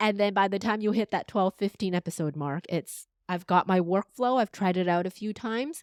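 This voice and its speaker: In a very clean, dry, close recording with no echo and a silent background, a woman with an ordinary speaking voice and a Canadian accent talks at a medium pitch and a fairly quick pace, with ordinary pitch variation and hardly any pauses. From Canada, Vancouver. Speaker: podcast strategist and voice coach. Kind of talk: interview conversation.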